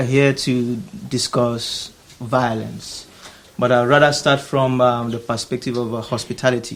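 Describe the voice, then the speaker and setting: The man speaks at a medium pitch and a fairly slow pace. Background noise is noticeable. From Nigeria. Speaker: artist. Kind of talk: public talk. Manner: halting.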